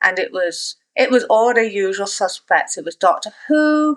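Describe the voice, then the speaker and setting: On a very clean recording with a silent background, a woman with a slight East Midlands accent speaks at a fairly slow pace. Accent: English East Midlands, toned down. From England, East Midlands (Nottingham). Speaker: author. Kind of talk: casual interview.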